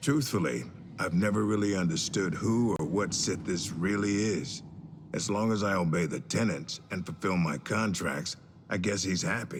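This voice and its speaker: A man does a put-on character voice with a very deep, low pitch. He speaks at a moderate pace, and the background noise is clear. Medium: video game. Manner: crude, blunt.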